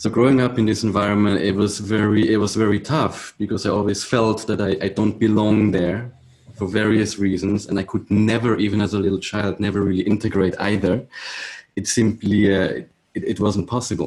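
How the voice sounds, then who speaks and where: A man's fairly low voice, fairly quick in pace, with monotone, flat intonation. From Switzerland. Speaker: musician, viola da gamba player. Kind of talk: interview. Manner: halting, many restarts.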